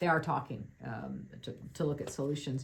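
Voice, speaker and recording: The woman's voice sounds somewhat breathy. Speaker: financial advisor. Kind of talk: webinar presentation. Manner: fast.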